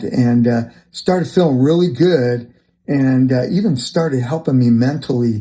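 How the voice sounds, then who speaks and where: A man's dark, mellow tone at a medium pitch, with a fairly slow pace. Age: 60s. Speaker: fitness vlogger. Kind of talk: personal testimony monologue. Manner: hesitant, many fillers; conversational.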